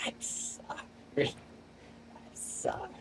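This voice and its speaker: Whispering in a put-on character voice, the speaker sounds strained and squeaky against clear background noise. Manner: strained, apologetic.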